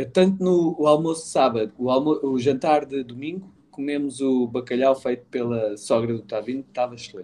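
A man speaks at a moderate pace with ordinary pitch variation and a dark, mellow tone. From Portugal, Lisbon area (Cacém). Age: 50s. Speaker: business owner. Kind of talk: casual chat.

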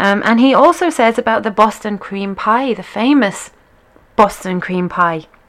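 A woman with a British accent speaks at a fairly slow pace, her fairly high pitch carried by lively intonation. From Britain. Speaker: internet radio host and line dance teacher. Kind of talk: radio show presenting, casual. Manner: chatty, many filler words.

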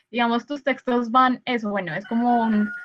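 In a Colombian accent, a woman speaks at a fairly high pitch with fairly even intonation. Her pace is moderate, and the sound is dry and close with no echo. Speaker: podcast host, film student. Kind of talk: casual interview. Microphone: sound quality issues from technical problems.

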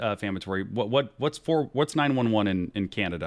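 A man talks at a fairly quick pace in a fairly low pitch, his tone animated. The recording is very clean, with a silent background. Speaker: podcast host. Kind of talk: casual chat.

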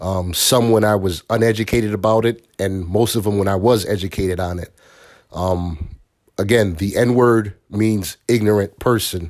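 In a very clean recording with a silent background, a man with an American accent uses an ordinary speaking voice at a fairly low pitch, a moderate pace and fairly even intonation. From Bridgeport, Connecticut. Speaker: parent being interviewed. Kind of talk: casual interview.

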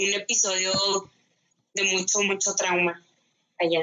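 A woman speaks at a fairly slow pace. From northern Mexico (Ciudad Juárez, Chihuahua). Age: 20s. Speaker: anthropology graduate. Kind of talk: interview. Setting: remote recording.

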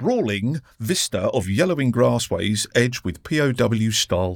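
The speaker reads aloud in a natural voice, the intonation lively.

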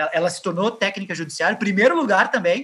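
A man speaks in a raised, projected voice with a high pitch. His tone is bright and sharp, and his pitch varies in an ordinary way. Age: 30s. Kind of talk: interview. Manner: halting.

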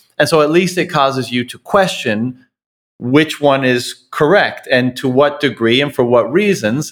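Here is a man with a normal speaking voice. His pitch is medium and his intonation lively. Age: 30s. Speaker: podcast host. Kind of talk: interview conversation.

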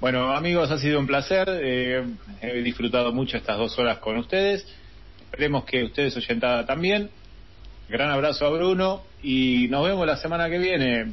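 With ordinary pitch variation and very even loudness, a man with a plain, everyday voice speaks at a moderate pace and a fairly high pitch. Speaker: radio co-host. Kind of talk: casual chat.

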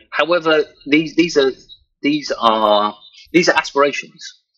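A man with a southern English accent at a moderate pace. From southern England. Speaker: virtual reality professional. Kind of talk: interview. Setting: online interview. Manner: halting, many fillers and repeats.

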